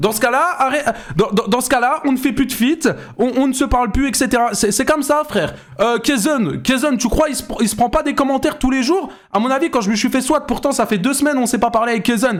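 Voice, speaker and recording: A man speaks at an extremely high pitch and a fairly quick pace, his tone animated. His pitch variation is ordinary, and his loudness swings widely. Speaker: YouTuber and streamer. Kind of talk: reaction commentary.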